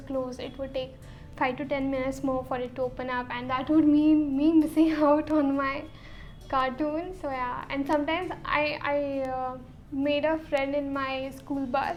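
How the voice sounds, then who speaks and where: A woman with an Indian accent speaks fairly slowly in a high pitch with monotone, flat intonation. Music plays in the background, and room echo is audible. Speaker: YouTuber. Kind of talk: casual chat.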